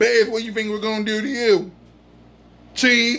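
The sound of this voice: A man's high-pitched voice, fairly bright in tone, with little pitch movement and a fairly slow pace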